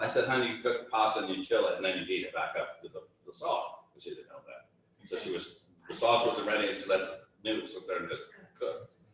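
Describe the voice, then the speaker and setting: A man speaks at a very fast pace with big swings in loudness. Noticeable background noise runs underneath. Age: 60s. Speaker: chef. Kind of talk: casual chat.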